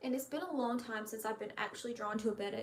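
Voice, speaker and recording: Noticeable background noise sits behind a woman speaking fairly quickly. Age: 20s. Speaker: YouTuber, betta fish breeder. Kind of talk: casual live stream chat. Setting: live stream from home laundry room.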